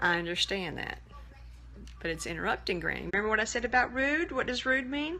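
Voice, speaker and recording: A woman with a Southern US accent talks at a fairly quick pace. Her fairly high voice swings very widely in pitch. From US South, Birmingham, Alabama. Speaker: livestreamer and programmer. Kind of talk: casual live stream chat. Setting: live video stream.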